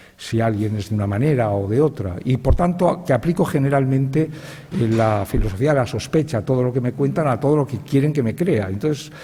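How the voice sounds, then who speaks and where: Noticeable background noise sits under a voice with lively intonation and hardly any pauses. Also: man, medium pitch for a man. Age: 60s. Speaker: writer, panelist. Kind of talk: panel talk. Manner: halting, with fillers and repetitions.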